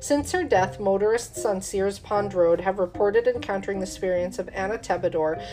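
Music plays in the background as a woman talks at a fairly quick pace, her medium pitch moving with ordinary variation. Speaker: paranormal podcast host. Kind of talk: true-crime horror narration, reading haunted-bridge legends; casual chat with beer tasting intro. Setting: home studio, drinking beer. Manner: measured, storyteller cadence, spooky and matter-of-fact; casual, chatty, with fillers.

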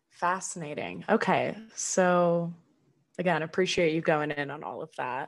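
A woman's plain, everyday voice in a General American accent, fairly low in pitch, with fairly even intonation, a fairly slow pace and big swings in loudness. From California, near Sacramento. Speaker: podcast co-host. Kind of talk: casual chat.

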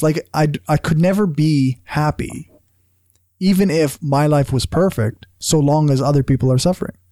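Someone speaks at a moderate pace with a Canadian accent. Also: very clean recording, silent background. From Canada. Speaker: podcast co-host. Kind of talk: casual chat.

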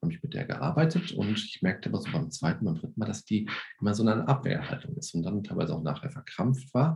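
A man's very fast speech with very wide pitch swings and vocal fry. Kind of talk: interview. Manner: hesitant with many fillers.

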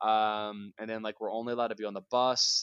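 The speaker talks at a fairly quick pace in a Mid-Atlantic American accent, with a dry, close sound and no echo. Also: man. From Pennsylvania, US. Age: 20s. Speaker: Olympic swimmer. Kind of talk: casual interview. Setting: remote call.

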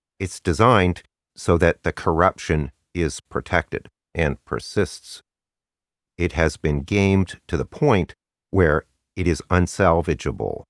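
A man's very deep, low voice with vocal fry and ordinary pitch variation, at a fairly slow pace with long, frequent pauses, dry and close with no echo, in a very clean recording with a silent background. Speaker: astrology YouTuber. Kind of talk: angry rant, ad-libbed monologue. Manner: impassioned, urgent, forceful; unscripted, ad-libbed.

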